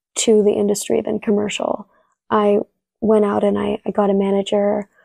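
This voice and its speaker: In a Californian accent, a woman speaks at a medium pitch and moderate pace with a dark, mellow tone and monotone, flat intonation, the sound dry and close with no echo. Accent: Californian American. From US West Coast, San Diego. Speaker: actress. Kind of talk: interview.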